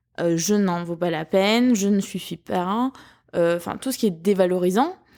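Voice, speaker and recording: A dark, mellow tone with a slight southern French accent and ordinary pitch variation. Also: woman, medium pitch for a woman, moderate pace, very clean recording, silent background. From southern France. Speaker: podcast host. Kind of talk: personal podcast monologue. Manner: hesitant, many fillers.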